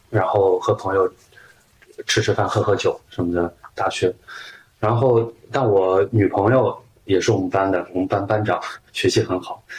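There is noticeable background noise as a man speaks at a moderate pace. He leaves long, frequent pauses. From Shaanxi, China. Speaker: journalist. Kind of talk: interview conversation.

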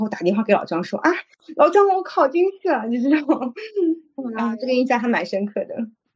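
High pitch and very wide pitch swings from a woman. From Shanghai (migrant family, moved in primary school). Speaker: e-commerce manager. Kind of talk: casual chat.

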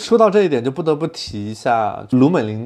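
Ordinary pitch variation and a fairly quick pace in an ordinary speaking voice. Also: man. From not from Shanghai. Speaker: podcast host. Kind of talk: casual chat.

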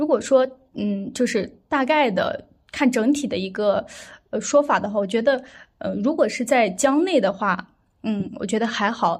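Her fairly high pitch and lively intonation carry as the woman speaks at a moderate pace. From Xinjiang, Ili (Kazakh). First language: Kazakh (speaking Chinese). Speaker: medical student. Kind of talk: casual interview chat. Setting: online remote recording.

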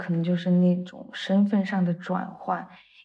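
A woman's somewhat breathy, dark, mellow voice at a fairly slow pace. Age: 20s. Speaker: dance student and part-time dance teacher. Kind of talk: interview.

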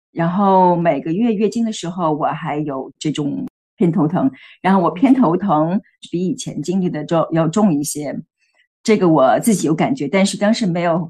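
A dark, mellow tone against a quiet background. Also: woman. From Beijing, China. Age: 40s. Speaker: healthcare worker sharing menopause experience. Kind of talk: interview testimony. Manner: hesitant, many fillers.

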